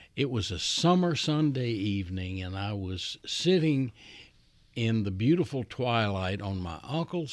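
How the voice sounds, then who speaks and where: At a fairly slow pace, a man speaks with a medium pitch. His pitch swings very widely. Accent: Southern US. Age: 70s. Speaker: retired chief executive. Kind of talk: interview. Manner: folksy storyteller.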